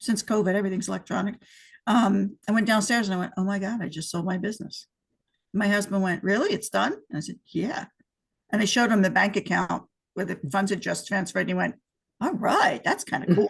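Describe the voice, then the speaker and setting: A woman speaks at a fairly quick pace with a medium pitch. Her voice is somewhat breathy. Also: ordinary pitch variation. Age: 60s. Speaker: entrepreneur who sold her business. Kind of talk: casual interview.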